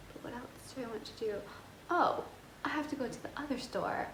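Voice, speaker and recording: Audible room echo and clearly present background noise surround a woman as she talks. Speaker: fashion and lifestyle vlogger. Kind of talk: casual vlog talk to camera. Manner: rambling, chatty.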